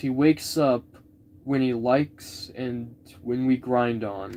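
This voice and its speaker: Here a man of medium pitch talks. His pace is very slow. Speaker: live streamer. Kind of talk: reading aloud. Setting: live stream. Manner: halting.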